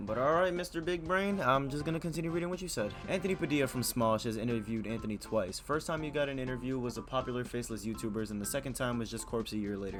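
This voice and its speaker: A man at a medium pitch talking at a very fast pace with lively intonation, music playing in the background. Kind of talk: casual commentary to camera. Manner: casual, exasperated.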